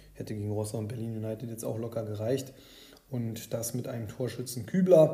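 A man speaks at medium pitch in a dark, mellow tone that is somewhat breathy. There is audible room echo. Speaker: fantasy football podcast host. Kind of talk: casual solo podcast commentary. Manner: hesitant, many filler sounds.

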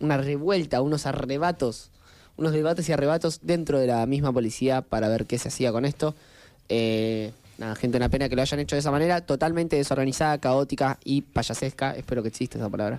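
A man speaks with a Rioplatense accent at a very fast pace. His pitch is fairly high. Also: ordinary pitch variation. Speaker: podcast co-host. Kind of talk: casual chat. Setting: studio.

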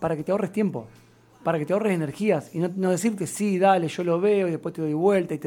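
Over noticeable background noise, a man speaks at a very fast pace in a high pitch with ordinary pitch variation. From Argentina, Santa Fe. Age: 30s. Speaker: political candidate. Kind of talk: radio interview.

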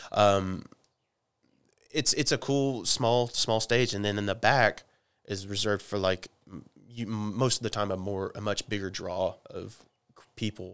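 A man with an Oklahoma accent speaks at a fairly slow pace in a fairly low voice, with ordinary pitch variation. He leaves long, frequent pauses on a very clean recording with a silent background. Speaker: rock guitarist. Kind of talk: casual chat. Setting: garage. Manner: halting.

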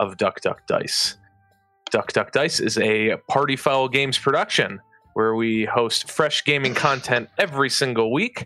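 A put-on, robotic character voice at a moderate pace, with faint music in the background. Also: man, medium pitch for a man. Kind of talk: promotional host intro. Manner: robotic, scripted.

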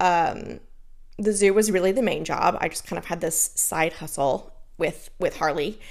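Her pitch sits fairly low for a woman, with ordinary variation. She has an animated tone and keeps a moderate pace. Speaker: podcast host. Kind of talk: solo advice talk.

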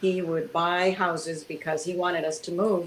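This woman has a fairly low pitch. She talks at a moderate pace. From US, Cuban immigrant family. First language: Spanish. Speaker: entrepreneur, author. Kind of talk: interview.

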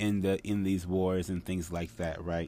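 A man's very deep, low voice with an American accent and fairly even intonation. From United States. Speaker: podcast host, tarot reader and astrologer. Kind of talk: solo monologue, casual lecture. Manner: casual with many fillers and hesitations.

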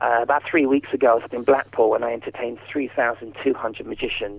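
With a southern English accent, a man talks at a fairly quick pace. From southern England. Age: 40s. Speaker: ventriloquist. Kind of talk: interview.

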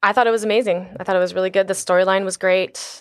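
Here is a normal speaking voice with fairly even intonation. The recording is very clean, with a silent background. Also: woman. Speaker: bartender. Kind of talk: casual chat.

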